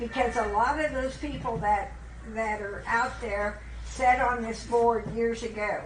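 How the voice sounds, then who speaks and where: Fairly high in pitch, a woman speaks at a fairly slow pace with fairly even intonation. Audible room echo and noticeable background noise fill the recording. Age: 80s+. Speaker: county aging board member. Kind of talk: board meeting discussion.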